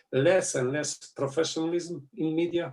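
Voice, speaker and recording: A man at a fairly slow pace with a Slovenian accent and ordinary pitch variation. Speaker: politician. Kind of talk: interview. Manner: halting.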